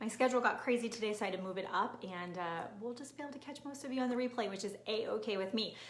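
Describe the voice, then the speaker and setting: An animated woman at a very fast pace, fairly high in pitch with ordinary pitch variation, amid audible room echo. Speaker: nutrition and fitness coach. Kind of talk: live-streamed training. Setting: live video stream.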